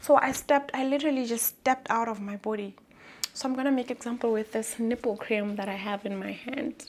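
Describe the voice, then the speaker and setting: A woman with a Lesotho accent speaks in a fairly high pitch. Her pace is fairly quick. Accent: Basotho (Lesotho) English. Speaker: vlogger. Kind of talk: personal vlog, testimony. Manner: loud and bold.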